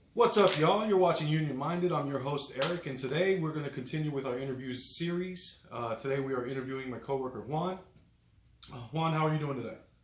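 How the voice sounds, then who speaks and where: A man with an American accent at a fairly high pitch, very fast pace and ordinary pitch variation, amid audible room echo and noticeable background noise. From Miami, Florida. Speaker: union electrician and interview host. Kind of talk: interview.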